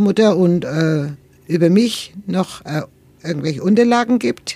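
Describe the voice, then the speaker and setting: A woman speaks at a very slow pace, her dark, mellow tone paired with lively intonation. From Nuremberg, Franconia, Germany. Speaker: interviewee sharing life story. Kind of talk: interview. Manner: halting.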